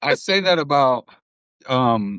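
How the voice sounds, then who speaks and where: Against a quiet background, a man with a Spanish accent sounds dry and close, with no echo. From US, Cuban family. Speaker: podcast host. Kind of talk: casual chat. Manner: animated.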